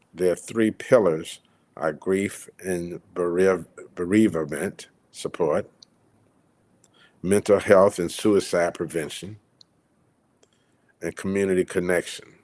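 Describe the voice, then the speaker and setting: Very slowly and with long, frequent pauses, a man speaks in a very deep, low pitch with fairly even intonation. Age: 60s. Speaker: community event organizer and livestream host. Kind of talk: casual livestream talk. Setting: solo livestream with virtual background. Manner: hesitant, with fillers.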